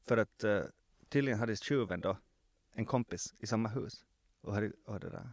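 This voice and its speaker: On a very clean recording with a silent background, a man with a medium pitch speaks at a moderate pace with fairly even intonation and long, frequent pauses. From Finland, Swedish-speaking Ostrobothnia (Vasa). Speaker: former journalist, now PR consultant. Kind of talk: casual interview. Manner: halting, many fillers and repetitions.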